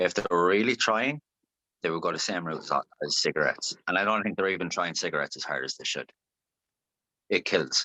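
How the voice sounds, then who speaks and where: A man with an Irish accent speaks with long, frequent pauses in a dry, close sound with no echo. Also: fairly quick pace. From Ireland, Longford. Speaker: singer-songwriter. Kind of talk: interview. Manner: animated.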